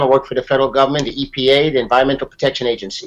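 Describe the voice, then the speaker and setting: A man talks in an animated tone. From Brooklyn, New York (also raised in Guyana). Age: 50s. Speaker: entrepreneur and success mentor. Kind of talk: interview. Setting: studio.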